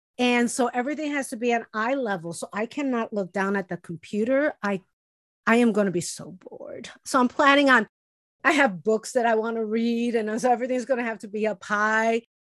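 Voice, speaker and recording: A woman in a plain, everyday voice talks at a fairly quick pace with a fairly high pitch and ordinary pitch variation. The sound is dry and close with no echo, and the background is quiet. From US city neighborhood, grew up poor. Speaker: podcast co-host. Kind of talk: casual chat. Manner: laughs often.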